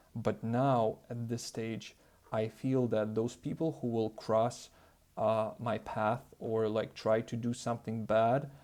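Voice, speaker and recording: Speaking very slowly, a man uses a dark, mellow tone with fairly even intonation. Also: medium pitch for a man. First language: not English. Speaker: self-improvement youtuber. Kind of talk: casual vlog monologue. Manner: hesitant, many fillers.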